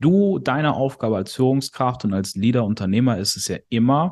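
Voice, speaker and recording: A man with an ordinary speaking voice and a medium pitch talks at a moderate pace against a quiet background. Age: 20s. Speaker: sales company CEO. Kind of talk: casual chat. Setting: at host's kitchen table.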